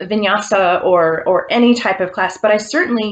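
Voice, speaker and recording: Using a normal speaking voice, a woman with fairly high pitch talks at a moderate pace with ordinary pitch variation. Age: 50s. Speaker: yoga teacher. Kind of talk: casual talk to camera.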